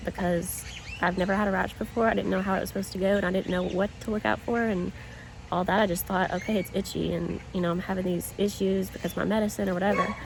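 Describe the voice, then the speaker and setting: A woman in a Southern US accent, medium pitch, fairly even intonation and a very fast pace, with noticeable background noise. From US South, small town. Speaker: vlogger. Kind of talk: casual vlog. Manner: halting, slight stutter.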